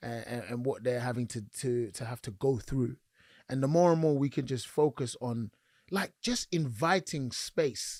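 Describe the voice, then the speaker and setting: A man with an East London accent talks at a moderate pace, medium in pitch, with ordinary pitch variation. The recording is very clean and dry, close with no echo, over a silent background. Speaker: podcast co-host. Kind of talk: casual chat.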